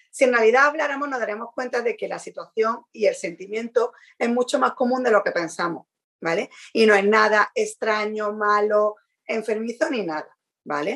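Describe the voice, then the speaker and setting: A woman speaks in an ordinary speaking voice, fairly high in pitch. Her pace is moderate and her pitch varies in an ordinary way. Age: 40s. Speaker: podcast co-host. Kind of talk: casual chat.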